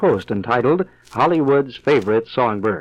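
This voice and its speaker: A man speaks in an ordinary speaking voice at a fairly quick pace. His intonation is lively. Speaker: radio personality. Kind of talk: radio interview questions.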